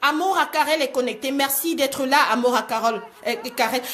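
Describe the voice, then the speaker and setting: This woman talks at a moderate pace in a raised, projected voice. Noticeable background noise sits behind her. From Cameroon. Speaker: life coach. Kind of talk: live-streamed motivational talk. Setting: live video stream. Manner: animated.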